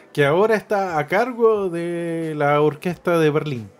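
The speaker talks at a fairly slow pace with a Chilean accent. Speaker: film podcast co-host. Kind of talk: casual film discussion.

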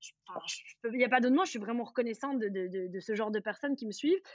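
The pace here is fairly quick. It's an ordinary speaking voice, with ordinary pitch variation. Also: woman. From Belgium, Charleroi region. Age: 30s. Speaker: influencer. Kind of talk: casual chat.

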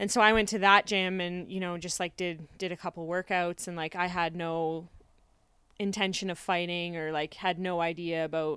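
A woman with a Canadian accent, fairly low pitch and monotone, flat intonation at a fairly quick pace, on a very clean recording with a silent background. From Canada. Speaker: professional kickboxer. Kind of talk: interview conversation.

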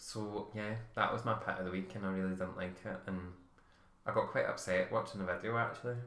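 Talking at a very fast pace, a man with a fairly low pitch uses a bright, sharp tone and fairly even intonation. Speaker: podcast co-host. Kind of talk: casual chat. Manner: playful, jokey.

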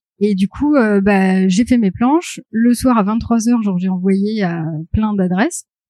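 A dark, mellow tone carries this somewhat breathy voice. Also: woman, dry, close sound with no echo. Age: 30s. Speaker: graphic designer and comic author. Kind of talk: interview.

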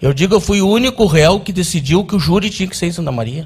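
A man talks very fast in a high voice with a Rio Grande do Sul accent. His intonation is lively. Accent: Rio Grande do Sul gaúcho Portuguese. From southern Brazil, Porto Alegre. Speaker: defendant in a criminal trial. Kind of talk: court testimony. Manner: emotional.

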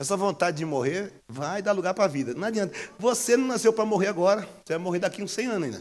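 Very fast, animated speech in a Brazilian accent, with lively intonation and hardly any pauses. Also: man, high pitch for a man. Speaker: pastor. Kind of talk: sermon, preaching live to a church congregation. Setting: church service with congregation, streamed online. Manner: animated, exclamatory, joking and laughing mid-sermon.

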